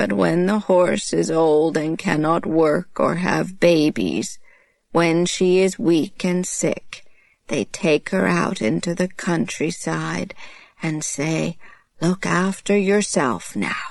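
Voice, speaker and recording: In a put-on character voice, a woman speaks at a very slow pace with a fairly low pitch. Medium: read story. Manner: slow, weary.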